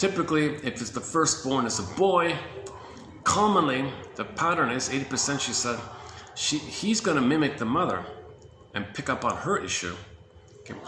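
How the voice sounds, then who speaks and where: Amid noticeable background noise and audible room echo, a man with a fairly high pitch makes very wide pitch swings and leaves long, frequent pauses. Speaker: compiler of therapy quotes, video presenter. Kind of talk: casual talk-to-camera monologue. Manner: fast, enthusiastic.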